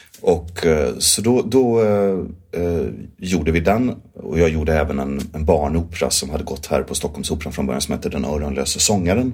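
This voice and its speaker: There is noticeable background noise as a man talks at a moderate pace. His pitch is very deep and low, and his intonation is lively. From southern Sweden (Skåne). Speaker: musical theatre actor and director. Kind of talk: interview.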